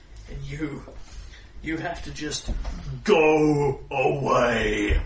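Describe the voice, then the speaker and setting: A man puts on a booming character voice at a very slow pace. Clear background noise can be heard. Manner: commanding.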